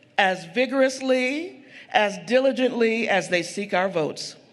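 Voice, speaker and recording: Audible room echo surrounds a man with an extremely high pitch and an American accent. He speaks at a fairly slow pace with lively intonation. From Eastern North Carolina. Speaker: community organizer. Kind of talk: public speech. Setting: stage with audience.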